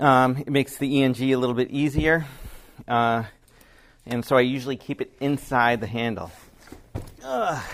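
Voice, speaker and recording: A man at medium pitch, fairly even in intonation, moving at a moderate pace with long, frequent pauses. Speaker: video production owner. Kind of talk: tutorial. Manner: casual, hesitant.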